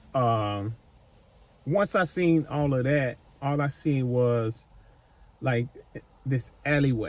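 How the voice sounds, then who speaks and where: A man speaks at medium pitch with ordinary pitch variation and very even loudness. His pace is very slow, with long, frequent pauses. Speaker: psychic medium / channel host. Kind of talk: intuitive spirit-medium session to camera. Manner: casual, rambling, conversational.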